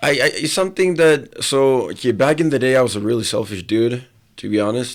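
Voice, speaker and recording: A man at a medium pitch talks at a fairly quick pace with lively intonation. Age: 20s. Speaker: athlete and entrepreneur. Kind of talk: casual interview chat.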